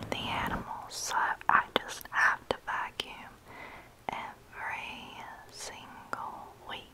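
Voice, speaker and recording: A woman whispers in a Southern US accent at a very slow pace, with long, frequent pauses. Her loudness swings widely, and noticeable background noise is present. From North Carolina. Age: 20s. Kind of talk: ASMR vlog voiceover. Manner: whispered.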